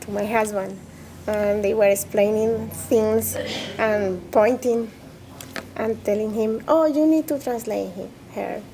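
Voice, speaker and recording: A woman's fairly slow speech with ordinary pitch variation and noticeable background noise. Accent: Spanish. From Colombia, Bogota. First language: Spanish. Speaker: immigrant interviewee, interpreter. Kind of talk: interview testimony. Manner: halting, with hesitations and self-corrections.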